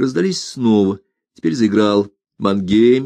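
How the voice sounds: A natural reading voice with ordinary pitch variation sits over a quiet background.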